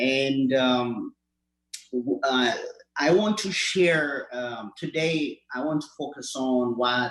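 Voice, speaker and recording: Speaking very slowly with an Ethiopian accent, the man has a medium pitch and ordinary pitch variation. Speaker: community health clinic worker. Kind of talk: award acceptance speech. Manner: halting, many fillers.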